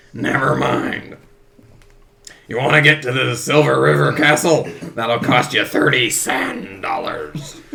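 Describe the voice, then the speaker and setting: Putting on a raspy character voice at a medium pitch, a man speaks fairly slowly with long, frequent pauses. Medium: actual play. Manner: gruff, muddled.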